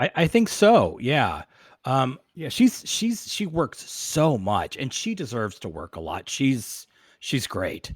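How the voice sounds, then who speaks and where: A man's fairly high voice at a very slow pace, with very wide pitch swings, big swings in loudness and vocal fry, in a dry, close, echo-free sound on a very clean recording with a silent background. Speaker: podcast host. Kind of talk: casual interview chat.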